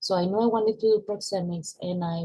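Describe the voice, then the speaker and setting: A woman with a Venezuelan accent speaks at a moderate pace in a somewhat breathy voice. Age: 20s. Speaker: university student. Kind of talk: class presentation.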